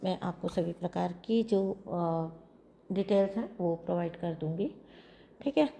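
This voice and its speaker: Soft-spoken and somewhat breathy, a woman speaks at a fairly slow pace with a medium pitch, ordinary pitch variation and a dark, mellow tone. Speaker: tarot card reader. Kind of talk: tarot reading with promotion. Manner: soft, low volume.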